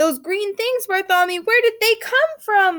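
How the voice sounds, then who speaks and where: A woman's squeaky, put-on character voice, extremely high in pitch, with lively intonation and a moderate pace. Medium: read story.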